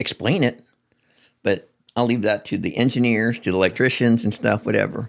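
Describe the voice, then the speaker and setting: A man talking very fast at a medium pitch with vocal fry, on a very clean recording with a silent background. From Yakima Valley, Washington, US (Mexican-American family). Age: 70s. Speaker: retired nuclear plant worker and safety instructor. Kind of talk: casual interview conversation. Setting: in-person studio interview. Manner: halting, many fillers and restarts.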